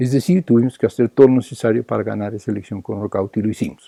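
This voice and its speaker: A man's dark, mellow voice, fairly low in pitch with ordinary pitch variation, at a very fast pace, dry and close with no echo. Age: 70s. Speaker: political activist. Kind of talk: political lecture. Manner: repetitive, halting.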